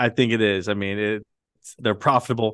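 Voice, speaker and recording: This man has an ordinary speaking voice with an American accent and fairly low pitch. He talks at a fairly quick pace. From Britain, then US. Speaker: podcast host, stock market commentator. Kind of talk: casual chat.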